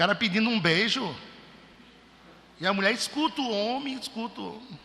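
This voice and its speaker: A man with a northeastern Brazilian accent talks at a fairly quick pace in a raised, projected voice, his pitch extremely high. Noticeable background noise runs behind him. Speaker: preacher. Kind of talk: sermon.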